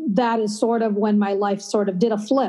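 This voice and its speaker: A woman talks with an American accent. Her intonation stays monotone and flat. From Minnesota, US Midwest. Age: 50s. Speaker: author and writing teacher. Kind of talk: casual interview.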